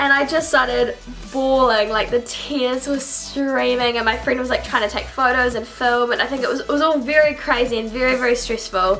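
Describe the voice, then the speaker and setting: With music in the background and audible room echo, a woman with a New Zealand accent speaks at a high pitch with hardly any pauses. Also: fairly quick pace. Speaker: YouTuber. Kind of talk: casual vlog. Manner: fast; animated.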